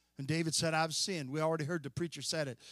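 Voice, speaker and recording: The recording is dry and close, with no echo. It carries a man's plain, everyday voice, fairly high in pitch, with ordinary pitch variation. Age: 60s. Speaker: preacher. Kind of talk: sermon.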